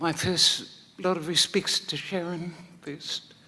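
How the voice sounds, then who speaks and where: A woman's bright, sharp tone with audible room echo. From New Zealand, East Coast (Wairoa). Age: 70s. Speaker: singer. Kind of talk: memorial speech. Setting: stage with audience.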